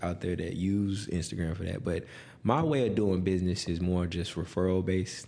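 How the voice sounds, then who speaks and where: A man with an American accent and a very deep, low voice talks at a fairly quick pace with fairly even intonation. There is audible room echo. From Texas, Houston suburbs (Spring). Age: 30s. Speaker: real estate broker. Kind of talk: interview.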